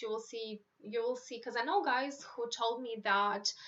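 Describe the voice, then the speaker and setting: A woman with a Romanian accent speaks at a moderate pace. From Moldova. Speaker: YouTuber giving advice on moving abroad. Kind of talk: live stream Q&A. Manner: casual, filler-heavy.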